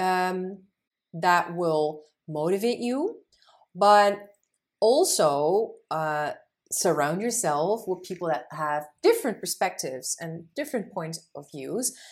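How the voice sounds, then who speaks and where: Speaking very slowly, a woman uses lively intonation at a medium pitch. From Netherlands. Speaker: social entrepreneur. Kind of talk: interview.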